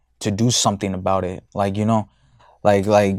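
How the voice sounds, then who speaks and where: Recorded very cleanly against a silent background, the sound is dry and close with no echo. A man speaks at a moderate pace with monotone, flat intonation. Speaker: men's self-improvement podcaster. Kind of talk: casual monologue. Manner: halting, many fillers and repetitions.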